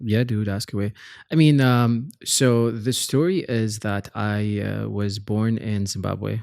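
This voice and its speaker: A man's fairly low voice at a very slow pace, with ordinary pitch variation, on a very clean recording with a silent background. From Bahrain (Pakistani family, early childhood in South Africa). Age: 20s. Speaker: entrepreneur. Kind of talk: casual chat.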